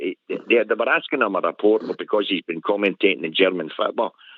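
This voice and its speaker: Speech comes at a very fast pace. The voice carries a Glasgow accent. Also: man. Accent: Scottish (Glasgow). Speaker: caller. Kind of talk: phone-in chat.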